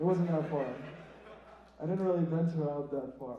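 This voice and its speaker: Audible room echo surrounds a man talking at a high pitch. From Iraq. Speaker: student stand-up comedian. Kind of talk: stand-up. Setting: theatre stage with audience.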